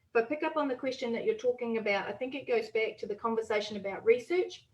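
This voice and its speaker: A fairly high-pitched woman with a New Zealand accent talks at a very fast pace with ordinary pitch variation. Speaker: politician. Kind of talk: panel discussion.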